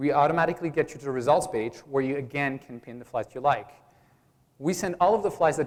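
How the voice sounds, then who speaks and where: Speaking very fast, a man keeps a fairly high pitch that varies in an ordinary way. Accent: Belgian. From Belgium. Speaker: startup founder. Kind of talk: pitch presentation.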